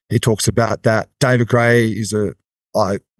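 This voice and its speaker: Against a quiet background, a man with an Australian accent is heard in a dry, close sound with no echo. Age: 40s. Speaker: athletic development coach. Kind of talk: casual interview.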